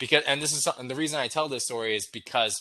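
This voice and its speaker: A man's bright, sharp voice at medium pitch, with ordinary variation in pitch. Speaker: wargame designer on a panel. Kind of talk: panel discussion. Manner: fast.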